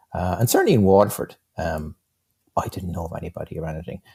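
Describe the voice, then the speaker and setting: An Irish-accented man talks at a very fast pace with a very deep, low pitch. His tone is dark and mellow, somewhat breathy, with a dry, close sound and no echo. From County Kilkenny, Ireland. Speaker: game designer and programmer. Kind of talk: interview answer.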